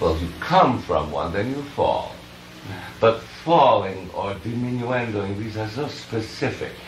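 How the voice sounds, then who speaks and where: A man with a medium-pitched voice speaks at a fairly slow pace with lively intonation over noticeable background noise. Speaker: piano teacher. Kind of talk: masterclass teaching. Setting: old cassette recording with tape hiss.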